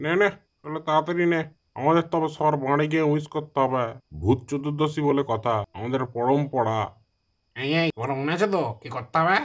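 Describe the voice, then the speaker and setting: At a fairly quick pace, a man performs a cartoonish character voice with a fairly high pitch, in a very clean recording with a silent background. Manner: bossy, gruff.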